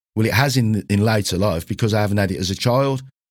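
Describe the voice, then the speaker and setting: In a very clean recording with a silent background, a speaker with a British accent talks at a very fast pace and with ordinary pitch variation. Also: man. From UK. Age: 60s. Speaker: gym owner and podcast host. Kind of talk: solo monologue podcast. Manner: informal, conversational, earnest.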